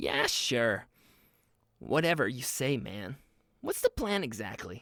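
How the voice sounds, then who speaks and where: At a fairly slow pace, a man performs a put-on character voice pitched in the medium range. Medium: read story. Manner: excitable, teasing.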